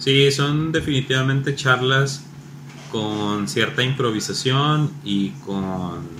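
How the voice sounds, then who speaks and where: A man talks in a Mexican accent with lively intonation. Audible room echo and noticeable background noise surround him. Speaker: podcast co-host. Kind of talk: casual chat.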